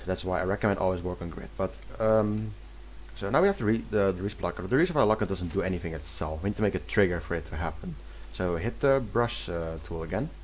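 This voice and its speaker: A man talks at a very fast pace. He has a non-native accent. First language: not English. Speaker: video game mapping tutorial creator. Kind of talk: tutorial. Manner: halting, many self-corrections.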